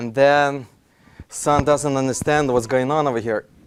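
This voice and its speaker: A man is talking at a moderate pace. His pitch is fairly high. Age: 30s. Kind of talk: lecture. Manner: halting.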